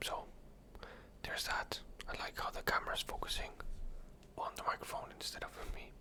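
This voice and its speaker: Whispering at a moderate pace with long, frequent pauses, the voice sits over noticeable background noise. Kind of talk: casual talk to camera, ASMR close whispers. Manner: close whispered, relaxing.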